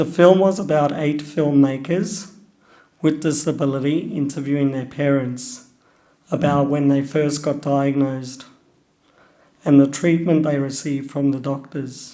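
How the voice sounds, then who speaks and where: A man with an Australian accent speaks at a fairly high pitch in a dark, mellow tone, with fairly even intonation. His pace is fairly slow, with long, frequent pauses, and the room echo is audible. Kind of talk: personal talk.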